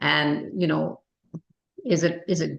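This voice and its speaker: A woman speaks in a very deep, low voice with vocal fry. She has a Canadian accent. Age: 70s. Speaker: recovery group facilitator and author. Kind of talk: casual chat. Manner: fast; animated.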